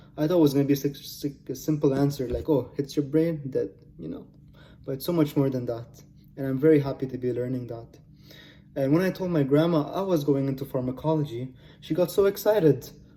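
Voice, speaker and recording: Fairly quick and somewhat breathy, a man talks in a fairly high voice with a dark, mellow tone. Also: ordinary pitch variation. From Lebanon. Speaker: pharmacology student. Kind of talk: self-presentation video pitch. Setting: recorded at home computer. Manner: casual, unpolished articulation.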